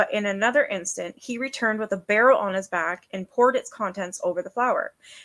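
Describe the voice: Pitch varies in an ordinary way during plain reading aloud.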